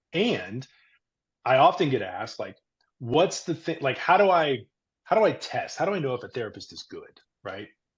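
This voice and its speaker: A man with a fairly high pitch and vocal fry speaks with very wide pitch swings, big swings in loudness, and long, frequent pauses. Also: moderate pace. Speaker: therapist. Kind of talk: podcast interview.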